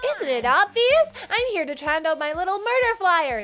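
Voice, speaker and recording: In a put-on character voice, a woman speaks at a moderate pace, her extremely high pitch making very wide swings. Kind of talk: game dramatic reading. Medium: actual play. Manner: mocking, playful.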